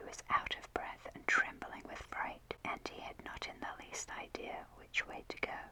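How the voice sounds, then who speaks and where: Whispering in a gentle tone, the speaker moves at a moderate pace with hardly any pauses. The loudness swings widely, and there is noticeable background noise. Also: woman. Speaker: ASMR content creator. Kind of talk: whispered ASMR storybook reading for sleep. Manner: whispered, soft, gentle.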